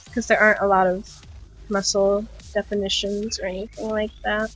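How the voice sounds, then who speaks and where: A woman's medium-pitched voice, monotone and flat, at a fairly slow pace with music in the background. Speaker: digital art tutorial streamer. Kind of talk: tutorial. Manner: casual, filler-heavy.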